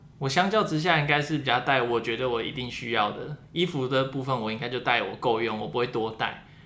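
Hardly pausing, a man talks at a fairly quick pace with a medium pitch and ordinary pitch variation, with audible room echo. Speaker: international student, podcaster. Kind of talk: casual chat.

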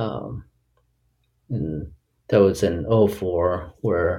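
With an American accent, the voice has a dark, mellow tone and is somewhat breathy. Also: man. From US, Boston area and San Francisco Bay Area. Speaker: tech startup co-founder and product executive. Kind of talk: interview. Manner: hesitant with many fillers.

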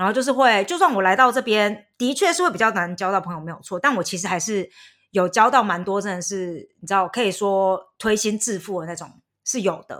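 A woman's normal speaking voice at medium pitch, fairly quick in pace, with ordinary pitch variation and big swings in loudness, on a very clean recording with a silent background. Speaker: podcast host. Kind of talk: casual chat.

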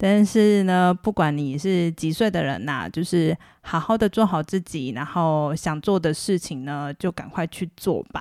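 A fairly low-pitched woman's voice at a fairly slow pace with hardly any pauses and ordinary pitch variation, in a very clean recording with a silent background and a dry, close sound with no echo. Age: middle-aged. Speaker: podcast host. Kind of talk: casual monologue. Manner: soft-spoken.

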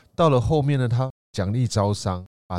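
Lively intonation from a man with a dark, mellow tone at a moderate pace, in a dry, close, very clean recording with no echo and a silent background. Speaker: tour leader and podcast co-host. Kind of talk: casual travel chat.

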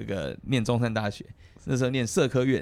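Vocal fry at a fairly quick pace. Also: man. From Taiwan. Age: 50s. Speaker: politician, legislator. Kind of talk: casual chat.

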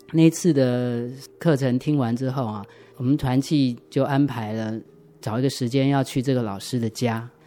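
His tone is dark and mellow, at medium pitch for a man. He keeps a moderate pace and fairly even intonation. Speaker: church member giving testimony. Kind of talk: testimony. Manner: hesitant, many fillers.

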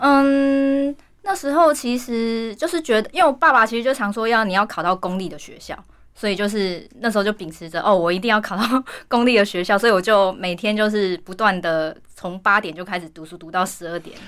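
A woman's normal speaking voice, fairly high-pitched, with lively intonation, a fairly quick pace and big swings in loudness. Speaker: singer and actress. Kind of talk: interview.

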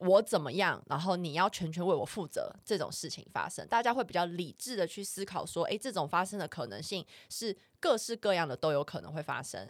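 Speaking at a fairly quick pace, a woman in a Taiwanese accent uses medium pitch, lively intonation and big swings in loudness, captured on a very clean recording with a silent background. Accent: Taiwanese Mandarin. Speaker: podcast co-host. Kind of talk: casual chat.

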